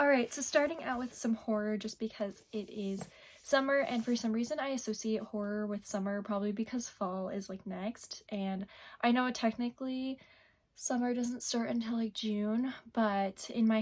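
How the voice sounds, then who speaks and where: At a moderate pace, a woman's somewhat breathy voice holds a fairly high pitch and fairly even intonation. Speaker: booktuber. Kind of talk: casual vlog talk.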